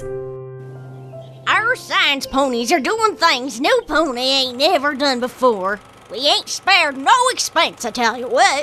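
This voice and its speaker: Over clear music in the background, a put-on character voice talks at a fairly slow pace with hardly any pauses. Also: female-sounding voice, high pitch for a woman. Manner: hearty, boastful.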